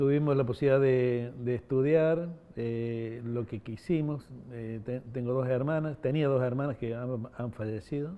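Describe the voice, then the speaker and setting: This man's voice sits at a medium pitch, and his pitch varies in an ordinary way. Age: 60s. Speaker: former political prisoner interviewee. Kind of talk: oral history interview. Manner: hesitant, many fillers.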